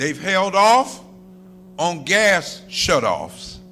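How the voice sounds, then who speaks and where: A man's raised, projected voice, high in pitch, animated in tone and lively in intonation. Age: 60s. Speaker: minister. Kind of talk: sermon.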